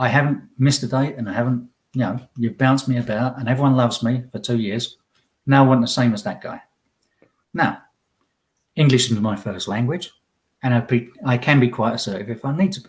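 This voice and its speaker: A man with a somewhat breathy, medium-pitched voice talks at a fairly quick pace with ordinary pitch variation, long and frequent pauses, and big swings in loudness. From Essex, England. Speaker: tradesman, immigrant guest. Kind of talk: casual chat.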